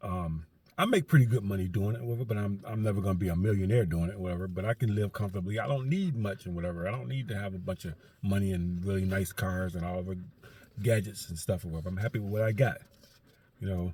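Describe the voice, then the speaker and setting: Very fast and somewhat breathy, a man speaks at a fairly low pitch with ordinary pitch variation and a dark, mellow tone. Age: 60s. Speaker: vlogger and garbage truck loader. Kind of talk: casual vlog monologue. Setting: in a truck in driveway. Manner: rambling with many fillers.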